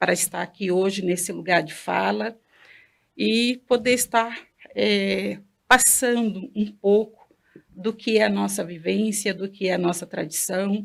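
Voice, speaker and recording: The pitch of this woman's voice is medium. She talks at a fairly slow pace. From Bahia, Brazilian Northeast. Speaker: Candomblé priestess. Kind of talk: interview.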